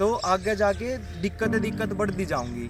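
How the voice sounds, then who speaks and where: A man's high-pitched voice in a Haryana accent, with music in the background. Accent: Haryanvi. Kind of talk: casual explainer talk to camera.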